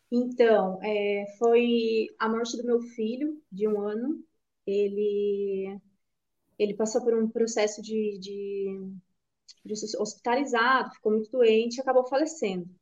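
At a very slow pace, a woman speaks at a fairly high pitch with fairly even intonation. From Canoinhas, northern Santa Catarina, Brazil. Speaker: yoga and meditation teacher. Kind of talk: interview. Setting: studio.

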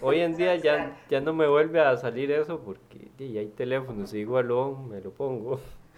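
With hardly any pauses, a man speaks at a moderate pace and medium pitch in an unremarkable speaking voice, with ordinary pitch variation and big swings in loudness. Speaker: radio co-host. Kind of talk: casual chat.

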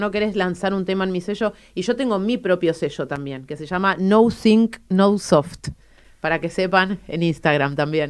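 A woman talks in an ordinary speaking voice at a medium pitch. Her pitch varies in an ordinary way, and the recording is very clean with a silent background. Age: 40s. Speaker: artist, designer and DJ. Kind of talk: radio interview.

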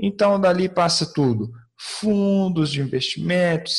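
This is a man speaking. His pace is very slow. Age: 30s. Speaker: investment expert. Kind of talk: explanatory interview.

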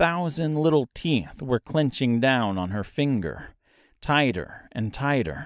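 Intonation rises and falls in a lively way. The reading aloud is done in a natural voice.

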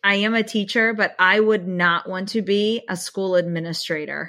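A bright, sharp tone in an American accent, fairly slow, with ordinary pitch variation. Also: woman. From Pennsylvania, near Harrisburg. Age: 40s. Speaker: teacher. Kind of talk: casual chat.

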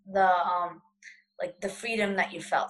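An unremarkable speaking voice belongs to a woman with an American accent. She talks at a fairly quick pace with fairly even intonation. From United States. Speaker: blind traveler and speaker. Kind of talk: panel discussion. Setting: video call.

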